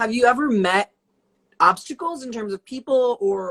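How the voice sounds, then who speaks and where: In an American accent, a woman with an unremarkable speaking voice talks at a moderate pace with lively intonation, recorded with a dry, close sound and no echo. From US South, Atlanta area. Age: 20s. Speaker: interview host. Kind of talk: casual interview. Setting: livestream video call.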